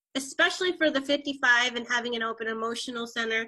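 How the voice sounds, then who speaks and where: Her voice is high-pitched with a bright, sharp tone, as this woman talks at a fairly quick pace with ordinary pitch variation. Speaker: human design teacher. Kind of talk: casual chat.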